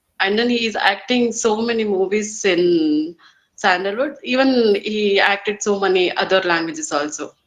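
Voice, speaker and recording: A woman with a Kannada accent talks at a moderate pace. Her pitch sits in the medium range, with ordinary variation. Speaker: English learner. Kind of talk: English speaking practice conversation. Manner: halting, many fillers.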